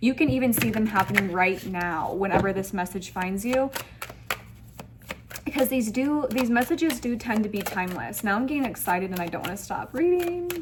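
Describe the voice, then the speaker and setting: Noticeable background noise sits behind a woman speaking at a fairly quick pace. Her fairly high pitch makes very wide swings. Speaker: tarot reader. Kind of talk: tarot reading to camera. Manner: animated.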